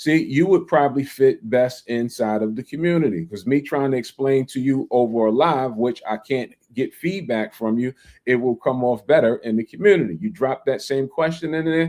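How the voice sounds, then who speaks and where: A man with a New York accent speaks at a moderate pace and a medium pitch. His tone is dark and mellow, and his pitch varies in an ordinary way. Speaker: land investing livestreamer. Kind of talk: casual livestream talk. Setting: livestream. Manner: animated.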